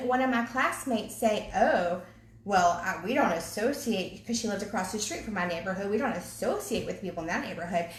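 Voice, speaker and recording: In a Southern accent, a woman speaks in an animated tone with lively intonation, amid audible room echo and noticeable background noise. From US South, Virginia (Henrico County). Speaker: ministry co-leader. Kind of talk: casual chat.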